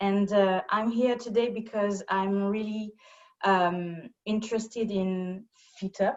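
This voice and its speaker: A woman's medium-pitched voice with a French accent, fairly even intonation and a very slow pace. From France. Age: 30s. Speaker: yoga student. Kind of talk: casual chat. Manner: halting.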